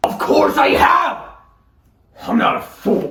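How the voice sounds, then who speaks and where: Someone shouts in a put-on character voice at a fairly slow pace, with a slight echo. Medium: stage play. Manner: shouting, temperamental.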